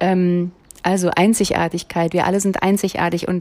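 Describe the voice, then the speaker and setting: A woman at medium pitch with a slight Berlin accent, at a fairly slow pace. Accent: light Berlin. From Berlin, Germany. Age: 40s. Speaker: podcaster and self-employed coach. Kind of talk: solo podcast monologue. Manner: many filler sounds.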